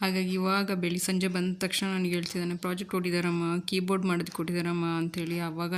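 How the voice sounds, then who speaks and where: A woman speaks in a monotone, flat intonation with a fairly low pitch. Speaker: vlogger. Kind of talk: vlog narration.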